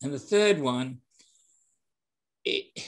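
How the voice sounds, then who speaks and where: A man with a British accent, very slow pace and very wide pitch swings. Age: 70s. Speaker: sales and hospitality trainer. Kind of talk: interview. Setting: podcast.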